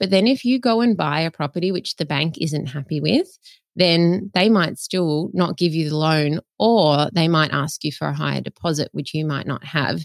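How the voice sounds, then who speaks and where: A woman with a very deep, low pitch, an Australian accent, lively intonation and a moderate pace. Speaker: buyer's agent. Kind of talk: interview.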